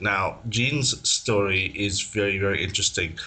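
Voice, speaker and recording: A man speaks at a moderate pace with a fairly low pitch. His tone is bright and sharp, his intonation fairly even. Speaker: podcast host. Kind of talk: podcast interview questions.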